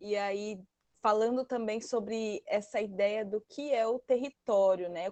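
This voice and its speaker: This woman's voice sits fairly high and moves at a fairly slow pace. Her intonation stays fairly even, and the sound is dry and close with no echo. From Brazil, Mato Grosso. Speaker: study group participant, agroecology worker and activist. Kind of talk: online study group discussion. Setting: online video call. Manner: halting, with many fillers and restarts.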